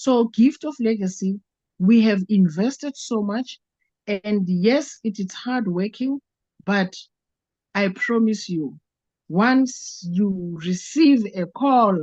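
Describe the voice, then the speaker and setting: A somewhat breathy woman's voice at a very slow pace, with long, frequent pauses. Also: medium pitch for a woman, lively intonation, dry, close sound with no echo. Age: 60s. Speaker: network marketing participant. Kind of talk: testimony. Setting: video call. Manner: halting.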